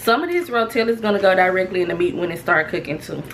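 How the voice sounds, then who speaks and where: Light background noise sits beneath a woman who speaks at a moderate pace. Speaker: home cook vlogger. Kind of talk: casual cooking tutorial chat. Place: kitchen. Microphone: phone near.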